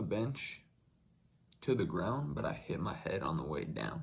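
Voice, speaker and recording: A man's voice shows vocal fry. His pitch swings very widely. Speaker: YouTuber. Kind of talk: casual chat. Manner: halting.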